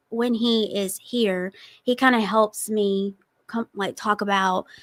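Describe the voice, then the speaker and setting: With a Southern accent, a woman speaks at a fairly high pitch and a fairly slow pace. The recording is very clean, with a silent background. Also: dry, close sound with no echo. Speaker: TikTok food reviewer and entrepreneur. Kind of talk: casual interview.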